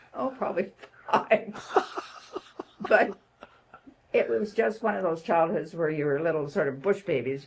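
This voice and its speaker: Speaking with a Canadian accent at a moderate pace, the voice takes long, frequent pauses and very wide pitch swings, with noticeable background noise behind it. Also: woman, fairly low pitch for a woman. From Canada, northern Ontario (Sudbury). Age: 80s+. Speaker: retired nurse and social worker. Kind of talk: interview conversation.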